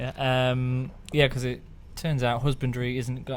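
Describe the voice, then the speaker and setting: In a Lancashire accent, a man speaks at medium pitch. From Lancashire, northern England. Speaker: podcast co-host. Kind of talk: casual chat.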